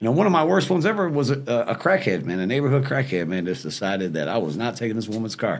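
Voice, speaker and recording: A man at medium pitch speaks at a very fast pace with hardly any pauses. His voice shows vocal fry and very wide pitch swings. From Detroit, US Midwest. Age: 40s. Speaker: former repo man and cannabis business owner. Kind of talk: casual podcast interview, storytelling.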